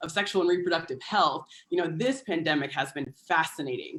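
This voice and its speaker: This woman has an ordinary speaking voice with an American accent, a fairly low pitch, ordinary pitch variation and a fairly quick pace. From United States. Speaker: public health partnerships coordinator. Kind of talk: panel talk.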